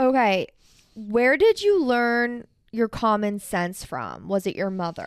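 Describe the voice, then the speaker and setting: A woman's fairly high voice at a very slow pace with ordinary pitch variation, in a very clean recording with a silent background. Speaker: granddaughter podcast host. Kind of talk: casual chat.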